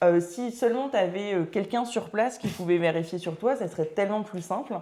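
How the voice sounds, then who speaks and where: Her voice has a dark, mellow tone at a medium pitch. The woman speaks at a fairly quick pace with ordinary pitch variation. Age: 30s. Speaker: entrepreneur, start-up founder. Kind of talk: casual podcast interview. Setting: podcast recording.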